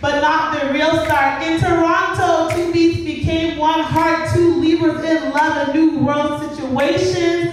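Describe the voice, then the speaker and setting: An extremely high-pitched woman's voice with hardly any pauses, over noticeable background noise. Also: fairly slow pace. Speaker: spoken word poet. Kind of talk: spoken word poetry performance. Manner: emotional, powerful.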